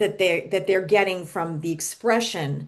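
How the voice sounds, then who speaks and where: A normal speaking voice, with pitch that shifts in an ordinary way, is heard here. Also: woman. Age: 60s. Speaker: business coach. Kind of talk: podcast interview.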